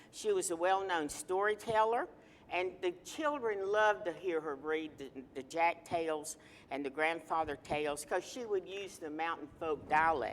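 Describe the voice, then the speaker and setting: A woman with a fairly low voice speaks with an Appalachian accent. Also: ordinary pitch variation, moderate pace. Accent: Appalachian Southern US. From North Carolina, Ashe County (Appalachian mountains). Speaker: political talk show panelist, retired educator. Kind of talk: TV panel discussion, tribute.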